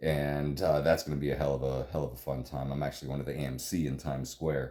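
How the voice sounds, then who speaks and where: The voice belongs to a man. His tone is dark and mellow, with vocal fry. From Florida, US (Clearwater area). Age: 40s. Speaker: movie commentary youtuber. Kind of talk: movie commentary, casual monologue. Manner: casual, many fillers and hesitations.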